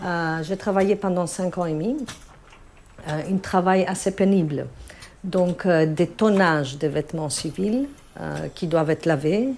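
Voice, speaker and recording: With long, frequent pauses, a woman with a fairly low pitch speaks at a very slow pace, her pitch varying in an ordinary way. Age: 40s. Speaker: hospital laundry manager. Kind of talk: interview testimony and workplace tour.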